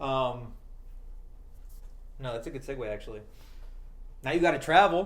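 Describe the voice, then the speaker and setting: A man with a fairly high pitch talks at a fairly quick pace with lively intonation, broken by long, frequent pauses. The room echo is audible. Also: big swings in loudness. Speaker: podcast co-host. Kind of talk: casual chat.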